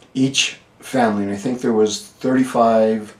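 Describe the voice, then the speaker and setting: Flat, monotone delivery at a fairly slow pace over noticeable background noise. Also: man. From northern New Mexico (Questa, Taos County). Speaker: local historian. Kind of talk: oral history interview. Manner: halting, many fillers.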